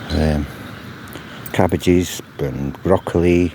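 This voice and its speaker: A man with a very deep, low voice and fairly even intonation, amid noticeable background noise. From Wales. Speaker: gardener vlogger. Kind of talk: casual video walkthrough. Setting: outdoors in a garden. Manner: chatty, rambling.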